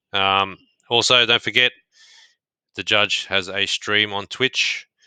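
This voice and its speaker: In a very clean recording with a silent background and a dry, close sound with no echo, a man with an Australian accent speaks at a very slow pace, his fairly low pitch carrying a bright, sharp tone in monotone, flat intonation. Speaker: podcast host. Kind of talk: casual chat.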